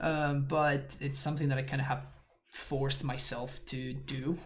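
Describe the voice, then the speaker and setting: A man's mumbling, fairly high-pitched voice, with noticeable background noise and audible room echo. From Argentina. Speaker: Magic: The Gathering streamer. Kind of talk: live gameplay commentary. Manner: fast.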